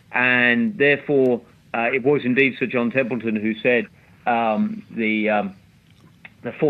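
A man speaks with a British accent at a medium pitch. His intonation is fairly even. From UK. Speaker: investment strategist. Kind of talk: interview chat about markets. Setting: remote interview, sheltering in place. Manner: hesitant, repeats words.

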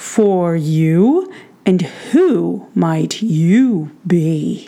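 A woman puts on a booming character voice pitched fairly low.

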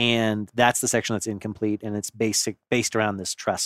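This man has an ordinary speaking voice, fairly low in pitch, at a moderate pace. The recording is very clean with a silent background and a dry, close sound with no echo. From Gulf Coast of Florida. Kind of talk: casual chat.

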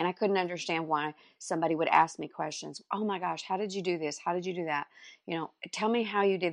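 Talking at a very fast pace in a Texan accent, a woman with a fairly low pitch and ordinary pitch variation sounds dry and close, with no echo, over a quiet background. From North Texas, Dallas area. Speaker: furniture artist and business coach. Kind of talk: interview.

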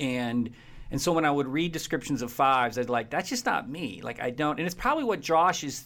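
His pitch rises and falls in an ordinary way. This man's delivery runs at a fairly quick pace. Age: 50s. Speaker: psychology professor. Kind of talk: interview conversation. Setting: video call. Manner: analytical.

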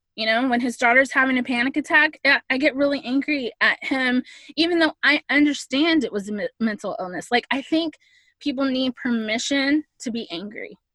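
A woman projects a raised voice with a bright, sharp tone and a high pitch. She keeps a moderate pace and ordinary pitch variation, and the sound is dry and close with no echo. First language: Spanish. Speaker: podcast guest. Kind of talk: casual chat.

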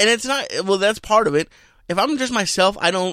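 A man with an American accent. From Boston. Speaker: comedian. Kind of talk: casual chat. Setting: studio.

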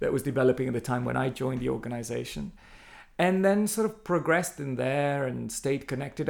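In an Italian accent, a man speaks at a medium pitch. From Italy. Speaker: art centre director. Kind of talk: interview. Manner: halting.

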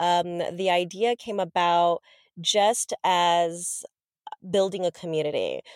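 A woman talks at a medium pitch with an American accent. The sound is dry and close, with no echo. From Los Angeles, California. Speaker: digital strategist and podcaster. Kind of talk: casual interview.

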